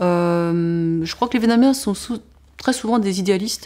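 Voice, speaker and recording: This woman's voice sits at medium pitch. Her tone is dark and mellow. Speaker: social entrepreneur; interviewee. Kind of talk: interview testimony. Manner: fast; many false starts and fillers. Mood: reflective, candid. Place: home room.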